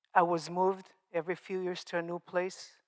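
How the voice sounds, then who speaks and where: A woman with an Israeli accent speaks at a moderate pace in a fairly low voice. The recording is very clean, with a silent background and a dry, close sound with no echo. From Israel, Moroccan family. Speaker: survivor speaker, nonprofit founder. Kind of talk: testimony. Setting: stage with audience.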